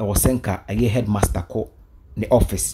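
A man with a Ghanaian accent talks at a moderate pace in a dark, mellow tone that is somewhat breathy. Noticeable background noise runs under the recording. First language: Twi. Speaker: YouTube vlogger. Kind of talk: vlog commentary. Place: studio. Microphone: studio mic.

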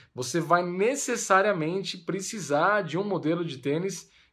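A man is speaking. The background is quiet. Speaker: running coach. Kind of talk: casual advice vlog. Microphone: phone near.

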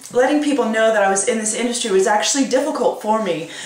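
Audible room echo and faint music in the background accompany a woman speaking at a high pitch. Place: home room. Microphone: webcam.

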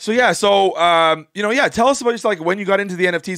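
Bright and sharp in tone, a man talks at a very fast pace with lively, animated intonation. The sound is dry with no echo and the background quiet. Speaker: gaming podcast host. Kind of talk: casual chat. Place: home room. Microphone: studio mic.

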